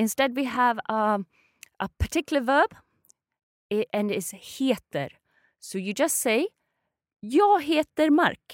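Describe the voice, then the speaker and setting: A woman with a Swedish accent, high-pitched for a woman, with very wide pitch swings, a very slow pace, long and frequent pauses, and a dry, close sound with no echo. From Sweden. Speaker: language teacher. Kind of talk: language lesson.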